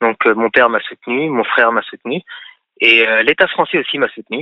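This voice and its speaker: A man's voice at a medium pitch. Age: 30s. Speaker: auto parts business owner. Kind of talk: radio call-in interview. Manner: halting.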